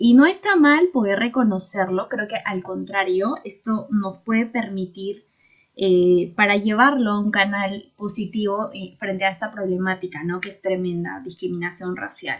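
Somewhat breathy and medium in pitch, a woman speaks at a fairly slow pace with ordinary pitch variation and big swings in loudness. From Peru, Huancayo. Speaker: podcast co-host. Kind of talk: casual discussion.

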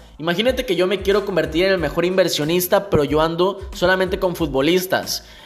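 Music plays in the background as a man speaks at a moderate pace. His pitch is high, with ordinary variation. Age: 20s. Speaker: entrepreneurship podcaster. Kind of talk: motivational monologue. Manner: energetic, exhorting.

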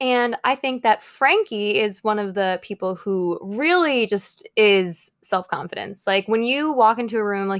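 A woman with an ordinary speaking voice talks at a moderate pace, her pitch fairly high with ordinary variation, in a dry, close sound with no echo. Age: 20s. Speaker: podcast host. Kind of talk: casual chat.

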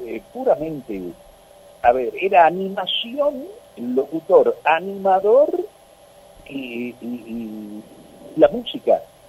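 Noticeable noise fills the background. Through it, a man speaks at a very slow pace. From Tucumán, Argentina. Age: 70s. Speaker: veteran radio announcer. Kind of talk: radio interview.

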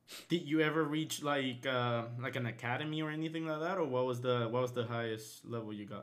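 A man at a medium pitch with ordinary pitch variation, talking at a fairly quick pace with hardly any pauses, over noticeable background noise. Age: 20s. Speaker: podcast host. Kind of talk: casual chat.

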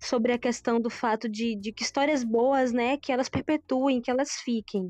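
Moderate-paced, high-pitched speech from a woman with monotone, flat intonation, dry and close with no echo against a quiet background. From southern Bahia, Brazil (Pau Brasil). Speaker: vegan food business owner. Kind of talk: casual chat.

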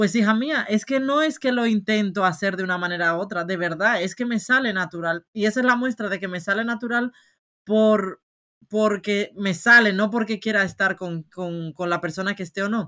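The voice is bright and sharp in tone, moving at a moderate pace with ordinary pitch variation. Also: woman, medium pitch for a woman. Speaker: podcast co-host. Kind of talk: casual chat.

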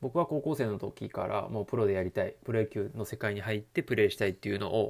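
A man with a fairly low pitch talks at a fairly quick pace on a very clean recording with a silent background. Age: 30s. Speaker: personal trainer and youth baseball coach. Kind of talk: solo talk monologue. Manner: hesitant, many fillers.

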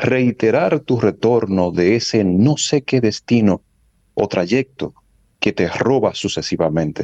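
A man with a Dominican accent speaks at a very slow pace in a dark, mellow tone with lively intonation, the sound dry and close with no echo. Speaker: meteorologist. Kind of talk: weather segment on radio.

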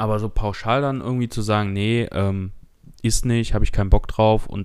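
On a very clean recording with a silent background, a man speaks fairly quickly at a fairly low pitch, his intonation fairly even. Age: 20s. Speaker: podcast co-host, IT technician. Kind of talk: casual chat.

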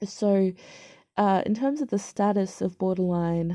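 A woman with an Australian accent speaks in a dark, mellow tone at a medium pitch. Her intonation stays fairly even against a quiet background. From Australia, major city. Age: 20s. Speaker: podcaster sharing mental health experience. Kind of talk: personal monologue. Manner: halting, many fillers and repeats.

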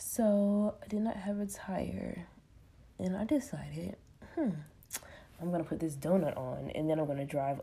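Lively intonation, a dark and mellow tone, somewhat breathy. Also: woman. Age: 20s. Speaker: podcaster. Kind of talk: casual solo monologue. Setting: at home, sitting on floor.

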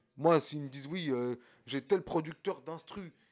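Here is an ordinary speaking voice at a moderate pace, with ordinary pitch variation. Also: man. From France, Champigny (Val-de-Marne, Paris suburbs). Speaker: independent rapper. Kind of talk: casual chat.

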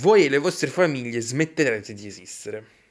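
A man's voice in a very clean recording, the background silent. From Italy. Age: 20s. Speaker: podcaster. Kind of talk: solo monologue on football history. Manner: casual, with frequent fillers.

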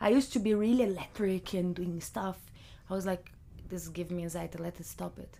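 A woman speaks at a fairly quick pace with a Brazilian Portuguese accent and a medium pitch. Her tone is dark and mellow, and her loudness swings widely. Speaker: photographer and artist. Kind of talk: casual interview. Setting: studio. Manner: animated.

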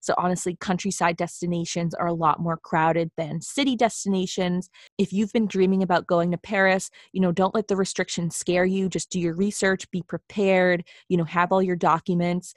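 A woman with a plain, everyday voice and an American accent speaks at a fairly quick pace with fairly even intonation. The sound is dry and close with no echo, in a very clean recording with a silent background. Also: medium pitch for a woman. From Boston, US Northeast. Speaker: travel writer and blogger, podcast co-host. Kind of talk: casual chat.

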